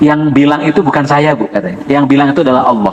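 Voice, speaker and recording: A man's fairly high-pitched voice amid noticeable background noise. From West Java (Ciamis). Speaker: Quran reading teacher. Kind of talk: religious lesson to congregation. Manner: conversational, addresses audience directly.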